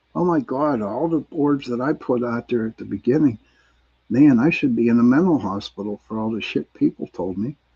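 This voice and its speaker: With lively intonation and a moderate pace, a man talks in a normal speaking voice. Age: 60s. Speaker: paranormal investigator. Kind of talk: casual panel discussion.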